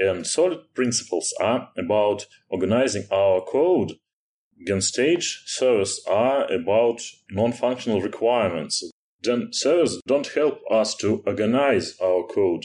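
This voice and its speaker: Speaking in a Russian accent at a fairly slow pace, a man uses a medium pitch, lively intonation and very even loudness. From Russia, Moscow. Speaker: software engineer. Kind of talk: technical interview. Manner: hesitant, many fillers.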